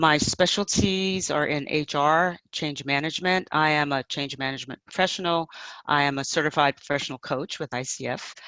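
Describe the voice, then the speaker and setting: A woman with an American accent speaks in a very deep, low pitch with a bright, sharp tone and fairly even intonation. The sound is dry and close with no echo, over a quiet background. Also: moderate pace. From New York City. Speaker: change management professional and coach. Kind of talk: panel talk. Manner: direct.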